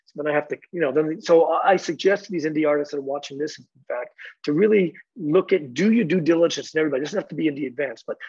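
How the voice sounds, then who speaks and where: Fairly high-pitched, a man with an American accent talks at a very fast pace in a dry, close sound with no echo. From US Northeast (Boston). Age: 60s. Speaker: music industry executive. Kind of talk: interview.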